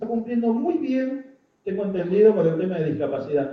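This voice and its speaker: A man's pitch swings very widely as he speaks at a moderate pace, with audible room echo. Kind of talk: public talk.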